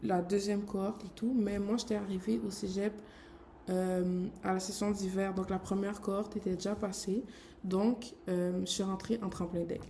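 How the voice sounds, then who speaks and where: Amid noticeable background noise, the voice runs in a monotone, flat intonation. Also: woman, medium pitch for a woman, fairly slow pace. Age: 20s. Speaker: graphic designer. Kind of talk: vlog. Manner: casual, filler-heavy.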